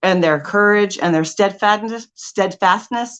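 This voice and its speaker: With a Californian accent, a woman speaks fairly slowly at medium pitch with ordinary variation against a quiet background. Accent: Californian American English. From Southern California. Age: 40s. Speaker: life coach. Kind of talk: motivational talk. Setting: stage.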